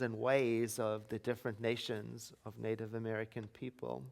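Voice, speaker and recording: Speaking with a non-native accent, this man keeps a moderate pace. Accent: foreign. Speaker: minister. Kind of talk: sermon.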